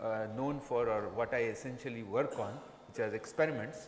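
Audible room echo and light background noise surround a man with an Indian accent who speaks with ordinary pitch variation. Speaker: professor. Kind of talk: lecture. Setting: stage with audience. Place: hall. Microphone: podium.

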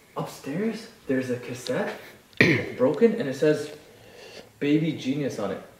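With strong room echo, a man at medium pitch talks at a fairly slow pace with big pitch swings.

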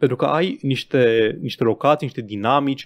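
There is a man talking at a moderate pace against a quiet background. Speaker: gaming podcast co-host. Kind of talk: casual chat. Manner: stammering.

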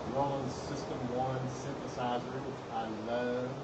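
Loud noise dominates the background. Through it, a man talks. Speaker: hobby musician streamer. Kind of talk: casual vlog chat. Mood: relaxed, on vacation. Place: street. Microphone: phone near.

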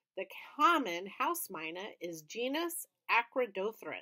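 Plain reading aloud sits over a quiet background.

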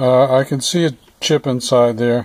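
Each word comes out very slowly. Behind the voice, things are quiet. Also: dry sound with no echo. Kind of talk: tutorial. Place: car.

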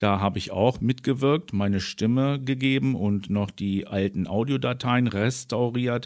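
A man speaks in a normal speaking voice at a medium pitch and a fairly slow pace, with ordinary pitch variation. He leaves hardly any pauses, and the recording is very clean with a silent background. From southern Germany, Allgäu. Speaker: YouTuber and interviewer. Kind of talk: interview.

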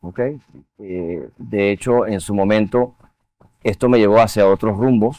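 At a fairly slow pace, a man talks in a fairly low pitch with a dark, mellow tone, the sound dry with no echo. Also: ordinary pitch variation. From Venezuela. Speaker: art museum board chair and finance executive; guest. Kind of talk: TV interview. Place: studio.

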